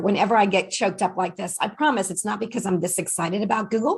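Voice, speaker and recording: A woman talks at a fairly quick pace in a somewhat breathy voice. Her pitch is medium, with ordinary variation. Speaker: workshop presenter. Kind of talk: online workshop presentation.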